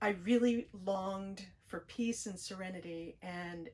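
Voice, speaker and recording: A woman with an American accent speaks at a fairly slow pace in a medium pitch, a plain, everyday voice. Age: 60s. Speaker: spiritual YouTuber. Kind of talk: personal vlog monologue. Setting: parked RV near train tracks. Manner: gentle, reflective.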